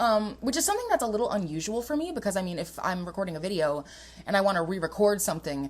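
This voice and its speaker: Speech races along at a very fast pace in an animated tone, with very wide pitch swings. Noticeable background noise runs underneath. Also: woman, medium pitch for a woman. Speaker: podcast host. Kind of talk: casual chat.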